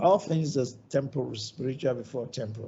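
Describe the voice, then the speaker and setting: A man talks in a fairly high pitch with a somewhat breathy voice. His pace is moderate and his pitch variation ordinary. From Nigeria. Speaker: ophthalmologist, hospital founder. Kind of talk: lecture.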